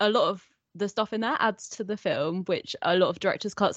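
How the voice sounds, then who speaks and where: With an English accent, a woman speaks at a fairly quick pace. The sound is dry and close with no echo, over a quiet background. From England. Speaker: podcast guest, horror podcaster. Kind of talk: casual chat. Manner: laughs a lot.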